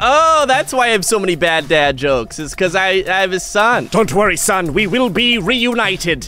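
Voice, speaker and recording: A man speaks in a raised, projected voice with an upbeat, playful tone and very wide pitch swings. His pace is moderate, and background noise is noticeable. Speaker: voice over artist. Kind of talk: gaming commentary.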